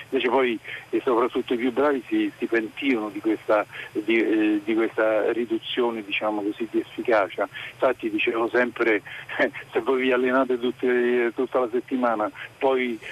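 Noticeable background noise sits behind a man at medium pitch, in a dry, close sound with no echo. He speaks at a moderate pace in a monotone, flat intonation. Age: old. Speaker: retired teacher, caller. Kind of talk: phone-in call. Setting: phone call.

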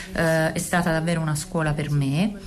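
Over noticeable background noise, a woman with a fairly low voice talks at a fairly slow pace. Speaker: interpreter. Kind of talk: interpretation.

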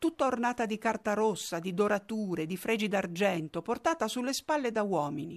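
Against a quiet background, a woman talks at a moderate pace in a normal speaking voice, medium in pitch with lively intonation. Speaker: documentary narrator. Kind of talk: scripted narration.

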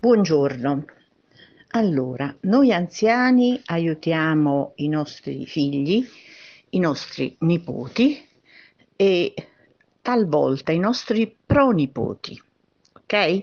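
Very slow speech with very wide pitch swings and long, frequent pauses. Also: woman, fairly low pitch for a woman. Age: 70s. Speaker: pensioner leaving voice message. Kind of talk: recorded voice message.

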